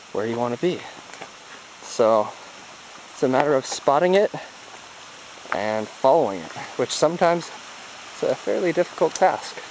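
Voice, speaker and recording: The speech moves at a moderate pace with long, frequent pauses, over light background noise in a dry sound with no echo. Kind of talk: casual vlog chat. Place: forest. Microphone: phone near.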